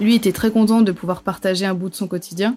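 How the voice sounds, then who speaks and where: Fairly even intonation in a woman's voice pitched at a medium level. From southern France. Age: 20s. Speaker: travel reporter. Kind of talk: interview testimony. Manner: halting, many repetitions and fillers.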